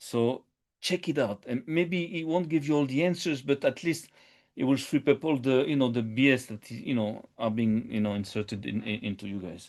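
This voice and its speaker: Lively intonation stands out against a quiet background. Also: man, medium pitch for a man. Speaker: podcast host. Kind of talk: live stream monologue. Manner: fast; halting, many fillers and repetitions.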